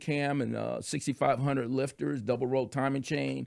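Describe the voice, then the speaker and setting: A man with a normal speaking voice, fairly high in pitch, at a moderate pace in a very clean recording with a silent background. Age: 60s. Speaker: podcast guest, car restorer. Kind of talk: casual chat.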